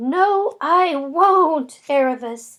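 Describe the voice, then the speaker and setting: A woman puts on a squeaky, high-pitched character voice. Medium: read story. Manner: soft-spoken, polite.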